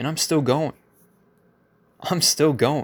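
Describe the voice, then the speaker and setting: The background is silent in a very clean recording. A man does the talking. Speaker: motivational podcaster. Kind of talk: motivational monologue.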